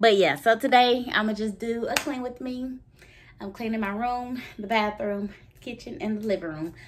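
The speaker is a woman. She talks at a moderate pace. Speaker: vlogger. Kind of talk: casual vlog chat.

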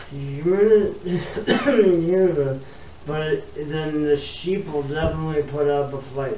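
Against light background noise and audible room echo, a man mumbles at a very slow pace with ordinary pitch variation. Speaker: carpet fitter vlogger. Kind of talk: casual vlog chat. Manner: slurred, rambling drunken mumble. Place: empty room. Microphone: phone near.

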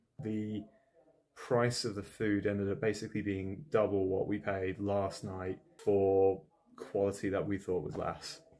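At a fairly slow pace, a man speaks with a fairly low pitch and a slightly mellow tone.

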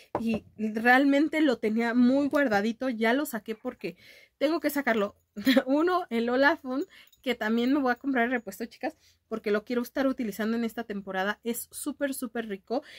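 Her pitch is high for a woman, with ordinary pitch variation. She speaks at a moderate pace against a quiet background. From Mexico. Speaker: beauty youtuber. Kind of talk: casual vlog chat. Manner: animated. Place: home room. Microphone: webcam.

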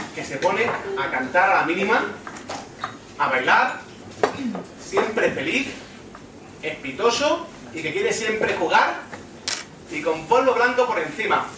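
Through noticeable background noise and audible room echo, a man speaks at a fairly slow pace with long, frequent pauses. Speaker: stand-up comedian. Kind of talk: stand-up comedy monologue.

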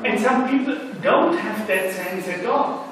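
Delivered at a very slow pace, the speech carries strong room echo over light background noise. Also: man. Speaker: philosopher on panel. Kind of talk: academic round-table discussion. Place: hall.

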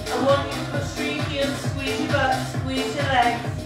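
A woman speaks at a fairly slow pace with audible room echo. Loud music plays behind her. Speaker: fitness instructor. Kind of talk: exercise class instruction. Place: gym. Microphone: camera far.

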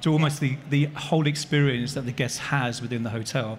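A man speaks at a moderate pace in a somewhat breathy voice over light background noise. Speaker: panelist. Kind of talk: panel discussion answer. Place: stage.

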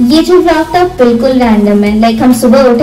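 A woman's voice with audible room echo and faint background music. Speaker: fitness vlogger. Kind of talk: casual vlog chat. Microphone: phone near.

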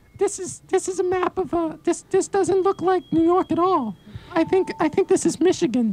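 A man's put-on character voice at an extremely high pitch, at a moderate pace. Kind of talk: improvised college radio comedy skit. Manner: agitated, rapid, talking over the other speaker, sarcastic.

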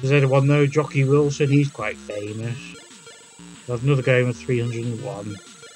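The speech runs at a fairly quick pace with ordinary pitch variation. Music plays in the background. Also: man, medium pitch for a man. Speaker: retro gaming video host. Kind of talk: casual gameplay commentary.

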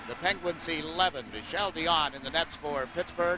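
Against noticeable background noise, a man speaks with a high pitch and ordinary pitch variation, the sound dry with no echo. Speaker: play-by-play hockey commentator. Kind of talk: live hockey play-by-play commentary. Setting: broadcast booth at the arena during a live TV game. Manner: fast, rapid-fire play-by-play that builds to a loud, excited call on goals; fluent, measured broadcaster delivery with sponsor reads and game updates. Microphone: headset.

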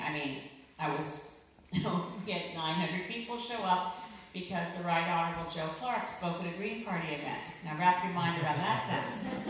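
Over light background noise and strong room echo, a woman with a fairly low pitch talks at a moderate pace. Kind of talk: political speech. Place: hall.

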